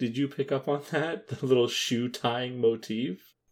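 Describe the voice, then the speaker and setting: A man with a Canadian accent speaks fairly slowly at a medium pitch in a very clean recording with a silent background. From Canada. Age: 20s. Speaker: podcast co-host. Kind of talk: casual chat. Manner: halting, many fillers.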